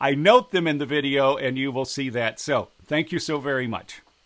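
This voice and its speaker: Someone with an American accent and an unremarkable speaking voice is heard in a very clean recording with a silent background. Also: man. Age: 60s. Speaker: politician. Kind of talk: direct address to camera.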